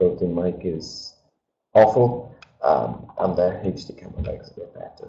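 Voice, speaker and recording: With ordinary pitch variation and a moderate pace, the man's voice comes across as somewhat breathy. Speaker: webinar presenter. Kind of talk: webinar presentation. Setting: webinar video call. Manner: casual, hesitant with fillers. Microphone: switching between camera mic and built-in mic.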